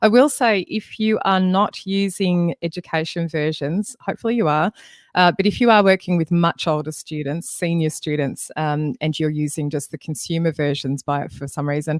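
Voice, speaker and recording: A woman speaks at a moderate pace with a fairly low pitch and ordinary pitch variation, barely pausing. The sound is dry with no echo, over a quiet background. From Australia. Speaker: music education trainer. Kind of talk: webinar tutorial. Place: home room. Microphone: studio mic.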